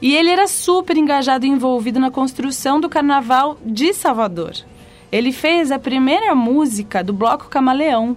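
A high-pitched woman with lively intonation at a moderate pace. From São Paulo, Brazil. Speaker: singer. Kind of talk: casual chat. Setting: studio.

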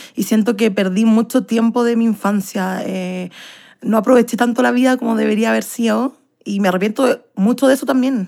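A woman with an ordinary speaking voice talks at a fairly quick pace with fairly even intonation. The recording is very clean, with a silent background. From Chile, Santiago. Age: 20s. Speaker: actress and dancer. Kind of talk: interview.

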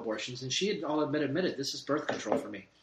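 Against noticeable background noise, a man with a fairly high pitch speaks at a very fast pace. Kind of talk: casual chat.

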